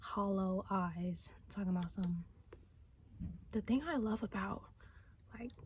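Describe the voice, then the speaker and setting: The voice is whispering. It moves at a fairly slow pace with long, frequent pauses. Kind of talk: casual ASMR talk to camera. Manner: whispered.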